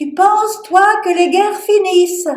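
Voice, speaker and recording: A woman puts on a squeaky character voice at an extremely high pitch, keeping a moderate pace and fairly even intonation, with a slight echo. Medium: stage play. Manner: anxious, exasperated.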